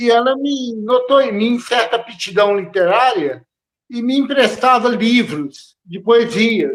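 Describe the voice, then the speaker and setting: At a very slow pace, a man speaks in an extremely high pitch with ordinary pitch variation. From Brazil, Belo Horizonte (Minas Gerais). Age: 60s. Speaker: poet, former chemical engineer. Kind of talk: interview. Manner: halting.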